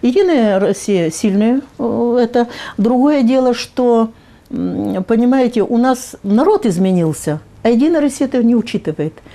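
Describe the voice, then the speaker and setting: Her voice is fairly high-pitched with a dark, mellow tone. The woman keeps a very even loudness at a moderate pace. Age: 70s. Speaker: public activist. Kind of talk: interview. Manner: halting, with fillers.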